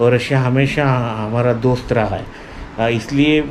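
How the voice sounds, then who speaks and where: Music plays in the background as a man talks in a medium pitch with fairly even intonation, his voice carrying audible room echo. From India, Marathi-speaking (Maharashtra). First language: Marathi (speaking Hindi). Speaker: language learning vlogger. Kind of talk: informal explainer vlog. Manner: hesitant, many fillers.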